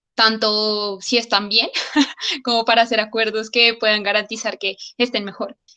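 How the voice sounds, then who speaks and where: A woman's fairly high, monotone, flat voice with a Colombian accent. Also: moderate pace. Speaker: capoeira practitioner. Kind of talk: online meeting discussion. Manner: hesitant, many fillers.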